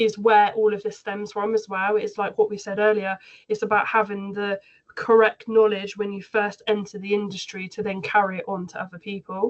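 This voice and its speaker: A woman's medium-pitched voice with a Somerset accent, monotone and flat, at a fairly quick pace. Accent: West Country (Somerset). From Somerset, England. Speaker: aesthetics trainer and practitioner. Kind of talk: panel discussion.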